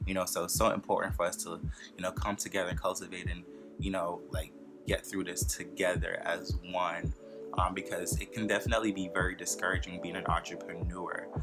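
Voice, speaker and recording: A man with a very deep, low pitch speaks at a fairly quick pace. His intonation is lively, with music in the background. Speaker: entrepreneur. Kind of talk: casual talk to camera. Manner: fast.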